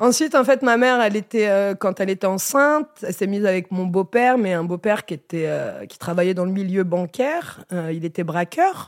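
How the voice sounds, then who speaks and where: A woman uses a normal speaking voice at a medium pitch, with lively intonation and a fairly quick pace. She hardly pauses, and the sound is dry and close with no echo. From Normandy countryside, then Melun suburbs. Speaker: stand-up comedian. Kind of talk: casual chat.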